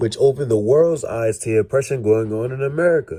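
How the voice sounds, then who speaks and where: A man's voice amid noticeable background noise. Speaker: movie reviewer. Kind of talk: scripted narration.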